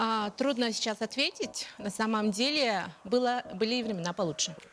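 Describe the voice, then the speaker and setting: This woman speaks at a moderate pace. Her pitch rises and falls in an ordinary way. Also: fairly high pitch for a woman. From Yakutia, rural village. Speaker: journalist and publisher. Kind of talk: TV talk show interview. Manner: hesitant, many fillers.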